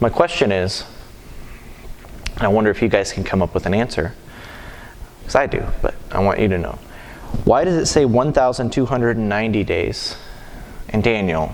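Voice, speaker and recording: Speaking at a fairly quick pace with long, frequent pauses, a man with a medium pitch is heard over noticeable background noise. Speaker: Sunday school teacher. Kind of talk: Bible class teaching. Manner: fast; halting.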